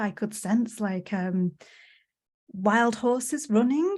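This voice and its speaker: In a very clean recording with a silent background, a woman with an English accent speaks at a moderate pace, fairly high in pitch and somewhat breathy. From England. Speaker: podcast host. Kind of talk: podcast interview.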